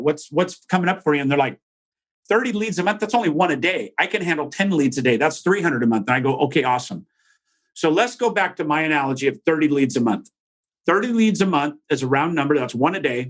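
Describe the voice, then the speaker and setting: A man talks at a very fast pace with a fairly high pitch. His intonation is lively. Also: quiet background. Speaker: real estate business coach. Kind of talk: podcast interview.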